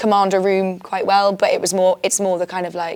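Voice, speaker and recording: A woman's medium-pitched voice carries at a moderate pace through noticeable background noise. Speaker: secondary school history teacher. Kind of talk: casual chat. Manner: loud.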